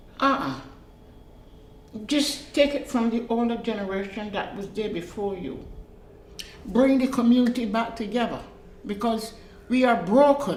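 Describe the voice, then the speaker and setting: Her pitch is fairly high with ordinary variation, and she, a woman, speaks at a moderate pace with long, frequent pauses. Room echo is audible. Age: old. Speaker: interviewee in documentary. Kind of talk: interview.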